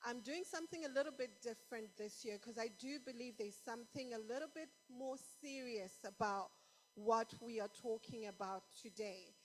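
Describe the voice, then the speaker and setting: A woman talks over music in the background, her fairly high voice showing ordinary pitch variation at a moderate pace. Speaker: conference speaker. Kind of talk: sermon. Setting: stage with audience.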